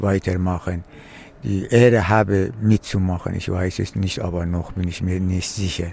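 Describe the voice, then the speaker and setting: Very deep and low in pitch, a man speaks in a dark, mellow tone with fairly even intonation at a fairly slow pace. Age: 70s. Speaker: retired film scholar and climate activist. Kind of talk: interview.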